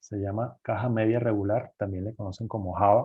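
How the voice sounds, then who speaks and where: A normal speaking voice from a man at a medium pitch, moderate in pace and fairly even in intonation. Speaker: engineer giving guest lecture on cardboard packaging. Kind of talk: lecture.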